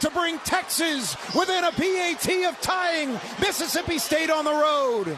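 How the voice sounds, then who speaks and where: A man uses a raised, projected voice at an extremely high pitch with fairly even intonation, against noticeable background noise. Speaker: radio play-by-play announcer. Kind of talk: football radio play-by-play call.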